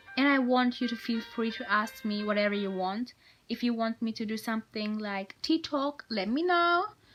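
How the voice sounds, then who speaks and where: A woman speaks at a moderate pace in a fairly high pitch, with music playing in the background. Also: ordinary pitch variation. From Germany. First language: German. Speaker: vlogger. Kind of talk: casual advice vlog. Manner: halting, with fillers.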